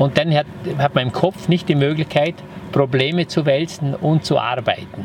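A man in a strong Vorarlberg accent, fairly high in pitch, at a moderate pace with fairly even intonation and very even loudness, over noticeable background noise. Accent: broad Vorarlberg dialect. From Vorarlberg, Austria (Lustenau). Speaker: entrepreneur, hotelier and former property developer. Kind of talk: casual interview. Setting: on location at his house.

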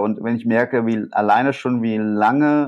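Over a quiet background, a man speaks at a moderate pace and medium pitch with ordinary pitch variation. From Rhineland, Germany. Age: 30s. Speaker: innovation consultant and entrepreneur. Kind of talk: interview. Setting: remote recording. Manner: halting, many fillers.

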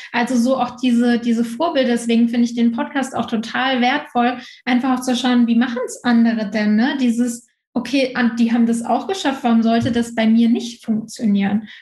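Speaking at a moderate pace, a woman uses a high pitch with monotone, flat intonation. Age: 20s. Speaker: entrepreneur and social media mentor. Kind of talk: casual interview. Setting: remote recording.

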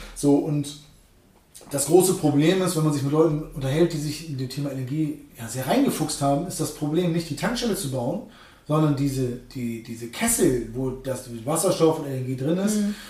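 Audible room reverberation and clear background noise around a male voice. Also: ordinary pitch variation, moderate pace. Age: 30s. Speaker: truck salesman. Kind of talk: casual interview. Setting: at the dealership. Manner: halting, many fillers.

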